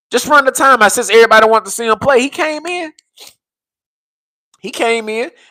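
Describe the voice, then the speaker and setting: A man's raised, projected voice, high-pitched, bright and sharp, animated in tone, at a moderate pace. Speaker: sports fan streamer. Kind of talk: live stream commentary. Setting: live stream. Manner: casual, animated.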